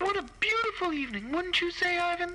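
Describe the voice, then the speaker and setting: In a put-on character voice, a woman squeaks at an extremely high pitch and a fairly quick pace, with lively intonation over clear background noise. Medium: audio drama. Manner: coquettish, genteel.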